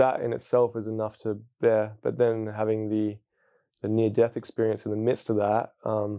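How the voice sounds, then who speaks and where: This man speaks with an Australian accent. His pitch is fairly low. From Western Australia. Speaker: hip hop artist and spoken word poet. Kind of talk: personal testimony. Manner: casual, with many fillers.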